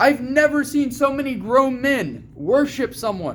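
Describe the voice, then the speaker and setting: A man with an American accent speaks loudly in an extremely high voice. His pace is fairly slow. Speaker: video commentator. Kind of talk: casual opinion monologue. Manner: animated.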